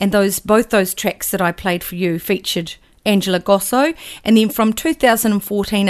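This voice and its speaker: A woman speaks with a New Zealand accent. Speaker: radio host. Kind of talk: radio DJ patter, live music show. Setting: radio studio. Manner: relaxed, chatty; conversational, mildly halting with fillers.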